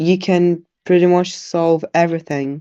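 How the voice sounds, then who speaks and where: A woman's dark, mellow voice at a fairly low pitch, with an Italian accent, very slow pace and fairly even intonation over a quiet background. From Italy. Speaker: online gamer. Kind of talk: casual chat.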